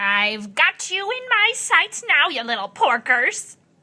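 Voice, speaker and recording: In a put-on character voice, a female-sounding speaker talks at a fairly slow pace, her high pitch moving in very wide swings. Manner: cackling, gloating.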